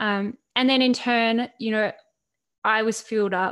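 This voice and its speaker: Speaking with an Australian accent, a woman uses a monotone, flat intonation at a fairly slow pace. The recording is very clean, with a silent background. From Australia (Central Coast, New South Wales). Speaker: author and mental health speaker. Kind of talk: podcast interview.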